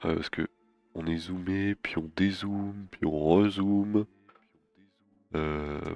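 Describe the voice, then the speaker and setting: Very deep, low male voice at a very slow pace, long and frequent pauses, fairly even intonation, dry and close with no echo, music in the background. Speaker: 3D animation streamer. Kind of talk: livestream work session. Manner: casual, hesitant.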